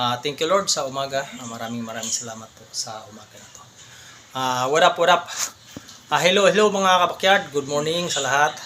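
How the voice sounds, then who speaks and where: Over noticeable background noise, a man with a fairly high pitch talks at a fairly quick pace, with lively intonation and big swings in loudness. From Philippines, Bohol (Anda). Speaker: vlogger. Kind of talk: casual vlog appeal to viewers. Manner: halting, many fillers.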